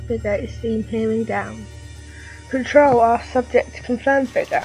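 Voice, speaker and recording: The talking keeps a moderate tempo. Behind it, music can be heard. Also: woman. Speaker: narrator. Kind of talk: read story narration.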